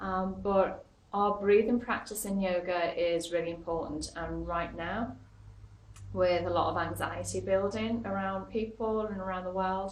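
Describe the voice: A woman speaks at a fairly slow pace with little pitch movement. Audible room echo surrounds her voice. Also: medium pitch for a woman.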